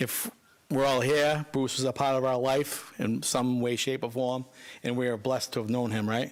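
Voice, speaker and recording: Speaking with a Boston accent, a man talks in a monotone, flat intonation. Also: medium pitch for a man, moderate pace, very even loudness. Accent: thick Boston. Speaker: son-in-law of the deceased. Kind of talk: eulogy. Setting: funeral home, speaking at microphone.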